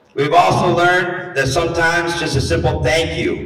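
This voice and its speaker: A man talks at a moderate pace. Room echo is audible around his voice. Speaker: teacher. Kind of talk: rally speech. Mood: earnest, warm, encouraging. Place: hall.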